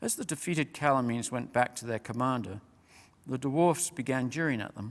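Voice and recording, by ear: Natural-voiced reading aloud, its pitch moving in an ordinary way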